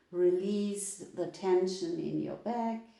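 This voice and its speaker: A calm, dark, mellow tone with a German accent. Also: woman. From Germany. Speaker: yoga teacher. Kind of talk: live online yoga class instruction. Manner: slow, calm.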